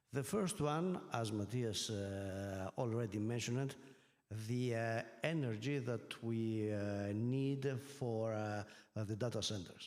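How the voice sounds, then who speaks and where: A man with a Greek accent at a very slow pace, with ordinary pitch variation, very even loudness and audible room echo. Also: medium pitch for a man. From Greece. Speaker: energy regulator and professor. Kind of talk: conference panel talk. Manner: halting, many fillers.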